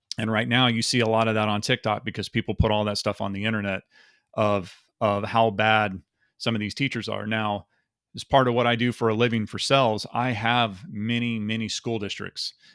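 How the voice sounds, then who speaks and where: The sound is dry and close, with no echo. Delivery comes at a fairly quick pace with monotone, flat intonation. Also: man, medium pitch for a man, very clean recording, silent background. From Texas. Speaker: YouTuber and salesman. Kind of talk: casual vlog rant.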